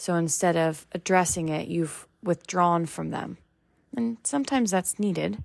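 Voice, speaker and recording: An unremarkable speaking voice at a moderate pace, with lively intonation. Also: woman, fairly low pitch for a woman. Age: 20s. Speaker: faith podcast host. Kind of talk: devotional talk.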